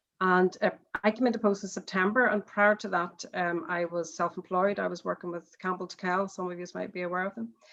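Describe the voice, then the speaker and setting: With a Northern Irish accent, a woman speaks at a moderate pace. Her medium-pitched voice keeps a fairly even intonation. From Northern Ireland. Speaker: charity chief executive, panelist. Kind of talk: panel discussion statement.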